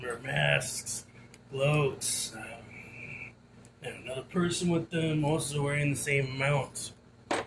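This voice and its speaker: A man puts on a raspy character voice, pitched fairly high and delivered at a fairly slow pace with fairly even intonation. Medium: actual play. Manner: deferential, hesitant.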